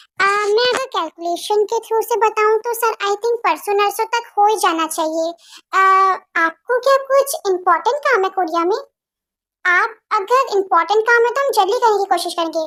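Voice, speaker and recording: The voice is a put-on character, pitched extremely high. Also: moderate pace. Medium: read story. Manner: hesitant, polite.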